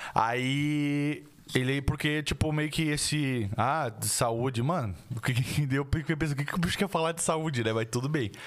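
On a very clean recording with a silent background, a man with a fairly high pitch talks at a fairly slow pace, with ordinary pitch variation and an unremarkable speaking voice. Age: 20s. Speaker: podcast host. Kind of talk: casual chat.

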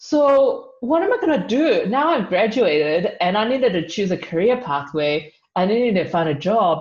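A woman with a New Zealand accent speaks at a moderate pace, hardly pausing, in a somewhat breathy voice. Her pitch is medium with very wide swings, while her loudness stays very even. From New Zealand (Auckland), Chinese family. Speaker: youth leader and marketing professional. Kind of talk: podcast interview. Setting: video call.

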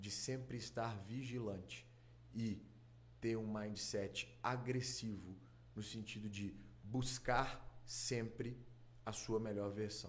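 A man speaks at a very slow pace with long, frequent pauses, his fairly low voice somewhat breathy and his intonation flat and monotone, with audible echo in the room. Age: 20s. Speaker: doctor. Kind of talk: casual interview.

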